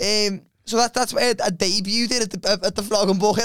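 With a Liverpool accent, a man talks in a high voice with fairly even intonation. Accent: Scouse. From Liverpool, England. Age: 20s. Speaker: comedian. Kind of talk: casual chat.

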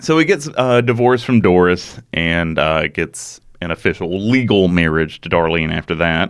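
At a moderate pace with hardly any pauses, a man speaks in a very deep, low pitch with ordinary pitch variation, in a very clean recording with a silent background. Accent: Alabama. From US South, rural Alabama. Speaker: podcast host. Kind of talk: true crime storytelling chat.

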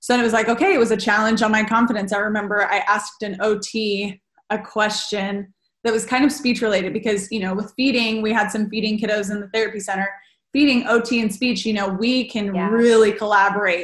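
Speaking fairly quickly in a Californian accent, a woman with a fairly high pitch sounds somewhat breathy, her intonation monotone and flat. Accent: Californian American. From Southern California, Redlands. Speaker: speech-language pathologist. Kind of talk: casual chat.

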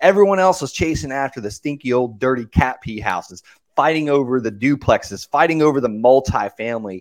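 With an American accent, a man uses an ordinary speaking voice at a medium pitch, with lively intonation and a fairly quick pace, in a dry, close sound with no echo on a very clean recording over a silent background. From US South, Okeechobee, Florida. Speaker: real estate investor and coach. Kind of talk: casual interview.

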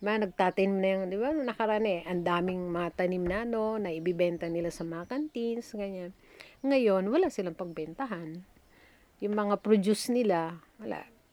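In a very clean recording with a silent background, a woman speaks at a moderate pace. She has an unremarkable speaking voice at a medium pitch with ordinary pitch variation. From Batanes, Philippines (Itbayat). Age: 60s. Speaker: retired nurse. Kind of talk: interview.

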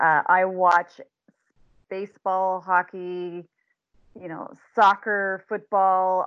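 A woman with a Canadian accent and an unremarkable speaking voice talks at a fairly slow pace and medium pitch. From southern Ontario, Canada. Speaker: change management consultant. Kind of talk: interview.

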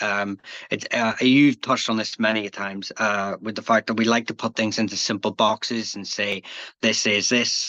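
Dry and close with no echo, a man's fairly low voice has a bright, sharp tone and monotone, flat intonation at a moderate pace. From Northern Ireland. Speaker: history YouTuber. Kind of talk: casual interview conversation.

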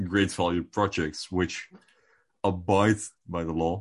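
A man with a very deep, low pitch at a fairly slow pace, fairly even in intonation, against a quiet background. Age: 20s. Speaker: crypto podcast co-host. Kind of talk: casual chat.

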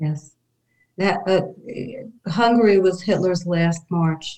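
A woman with a New York accent, a fairly low pitch and a dark, mellow tone, speaking at a very slow pace. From New York City, Brooklyn. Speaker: descendant of Holocaust-era family. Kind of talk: interview storytelling.

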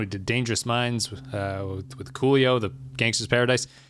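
A man at medium pitch in a normal speaking voice, with ordinary pitch variation and a moderate pace. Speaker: podcast host. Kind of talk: casual chat.

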